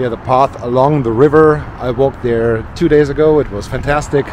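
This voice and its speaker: A man talks at a moderate pace with fairly even intonation. The sound is dry with no echo, with light background noise. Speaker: travel vlogger. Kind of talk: casual vlog chat. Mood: cheerful, admiring the view. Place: street. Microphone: phone near.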